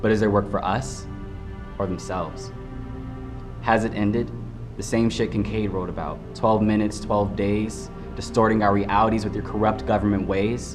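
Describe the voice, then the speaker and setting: Music plays behind a man speaking at a fairly low pitch and moderate pace. He uses ordinary pitch variation and long, frequent pauses. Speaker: spoken word poet. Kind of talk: spoken word poetry performance.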